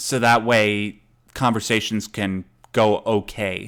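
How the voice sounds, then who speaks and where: A man's medium-pitched, monotone, flat voice on a very clean recording with a silent background. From Canada. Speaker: podcast host. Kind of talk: casual chat. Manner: halting, with stutters and fillers.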